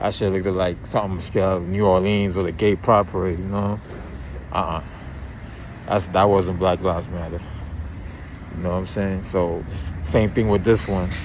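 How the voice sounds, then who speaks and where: In a New York accent, a man speaks at a moderate pace with a very deep, low voice and fairly even intonation. The room echo is audible, and background noise is noticeable. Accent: New York City. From Brooklyn, New York. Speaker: YouTube commentator. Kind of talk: casual monologue. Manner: halting.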